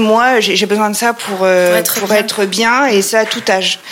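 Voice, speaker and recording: A woman speaks at a fairly high pitch with ordinary pitch variation. There is noticeable background noise behind her. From France, Troyes (Champagne). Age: 40s. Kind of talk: interview. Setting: her showroom. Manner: hesitant, many fillers.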